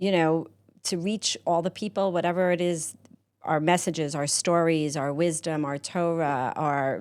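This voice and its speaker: A woman with a non-native accent, fairly low in pitch, at a fairly slow pace with fairly even intonation, on a very clean recording with a silent background. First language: not Hebrew. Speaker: podcast studio owner. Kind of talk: interview conversation.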